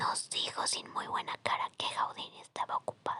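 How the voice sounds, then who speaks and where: Someone is whispering at a fairly slow pace. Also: woman. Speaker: ASMR storyteller. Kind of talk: ASMR sleep story. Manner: whispered, soft-spoken.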